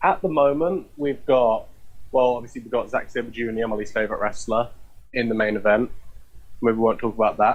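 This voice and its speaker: Speaking with a British accent, a man keeps a fairly quick pace, a medium pitch and ordinary pitch variation. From Britain. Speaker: podcast guest, wrestling fan. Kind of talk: casual chat.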